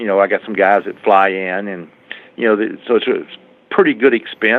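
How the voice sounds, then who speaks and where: This man talks at a fairly quick pace in a fairly low pitch. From USA. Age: 60s. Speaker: motorcycle drag racer. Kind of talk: interview. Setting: phone call. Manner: halting.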